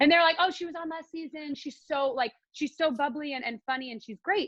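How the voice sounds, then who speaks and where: A woman with an American accent talks at a fairly quick pace in a high pitch, with ordinary pitch variation, big swings in loudness, and a dry, close sound with no echo. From Northern California. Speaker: country singer. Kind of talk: casual chat.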